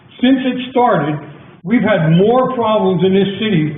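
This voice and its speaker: With an American accent and a high pitch, a man talks over noticeable background noise amid audible room echo. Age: 80s+. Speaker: town commissioner. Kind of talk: public meeting debate. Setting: council chamber meeting. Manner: animated.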